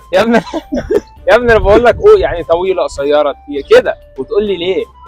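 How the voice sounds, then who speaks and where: Talking at a very fast pace, a man speaks over music in the background. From Egypt. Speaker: actor. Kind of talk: street interview, asking passers-by questions.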